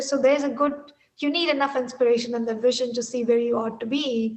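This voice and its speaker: A woman speaks at a high pitch with an Indian accent. Her intonation stays monotone and flat. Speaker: technology executive. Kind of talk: interview.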